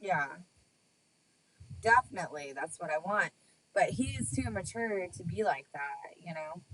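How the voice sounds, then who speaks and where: A woman with a slight Texas accent speaks at a moderate pace in a very deep, low pitch, with very wide pitch swings, big swings in loudness, and long, frequent pauses. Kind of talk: casual chat.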